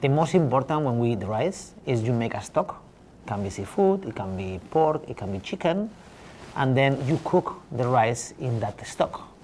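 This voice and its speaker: The speaker has a Spanish accent and a lively intonation. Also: man. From northern Spain. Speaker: chef. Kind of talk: interview.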